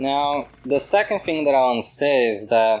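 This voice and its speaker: With a non-native accent, a man speaks with ordinary pitch variation. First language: not English. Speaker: video essayist. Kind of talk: monologue reflection.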